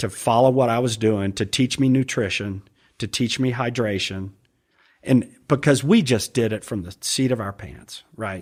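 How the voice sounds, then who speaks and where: A man with an American accent speaks at a moderate pace in a normal speaking voice, medium in pitch with ordinary pitch variation, on a very clean recording with a silent background. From US, raised partly in London and Atlanta. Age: 60s. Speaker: angler and triathlete. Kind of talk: casual chat.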